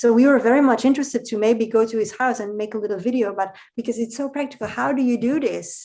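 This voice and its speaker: Speaking very fast with hardly any pauses, the voice has a dark, mellow tone, fairly even intonation and a Dutch accent. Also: woman, fairly high pitch for a woman. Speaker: podcast guest. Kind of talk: casual conversation.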